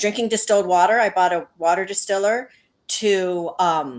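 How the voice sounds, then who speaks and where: Against a quiet background, a woman uses an ordinary speaking voice at a moderate pace with ordinary pitch variation. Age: 60s. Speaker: patient sharing testimony. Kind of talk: testimony.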